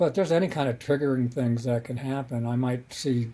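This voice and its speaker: A man with an American accent speaks at a medium pitch and a moderate pace. His voice is somewhat breathy, dark and mellow. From US West, Colorado (Denver). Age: 70s. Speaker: author and playwright. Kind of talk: podcast interview. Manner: halting.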